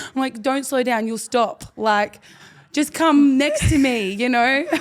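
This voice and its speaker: The speaker talks at a fairly slow pace with ordinary pitch variation. Background noise is noticeable throughout. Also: woman, high pitch for a woman. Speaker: rugby league player and podcast co-host. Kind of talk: casual chat. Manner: animated.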